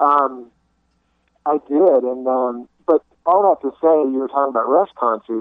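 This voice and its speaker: A man with a Southern US accent, medium-pitched, at a fairly slow pace. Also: ordinary pitch variation. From US South, South Carolina (Greenville area). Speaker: guitarist. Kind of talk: casual chat.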